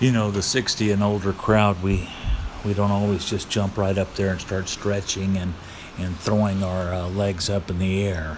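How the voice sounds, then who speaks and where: A fairly low-pitched man at a moderate pace, monotone and flat in intonation, over noticeable background noise. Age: 60s. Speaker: martial arts instructor. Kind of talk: exercise tutorial. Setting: outdoors. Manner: halting, many fillers.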